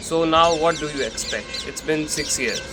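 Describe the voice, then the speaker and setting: The speaker talks at a fairly slow pace with noticeable background noise behind them. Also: man. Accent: Indian. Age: young. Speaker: content creator. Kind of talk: personal reflection monologue. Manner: casual, conversational.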